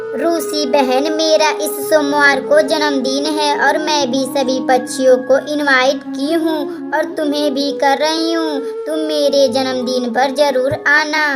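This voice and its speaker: A cartoonish character voice moves at a fairly slow pace. Loud music plays in the background. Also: female-sounding voice. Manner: emotional.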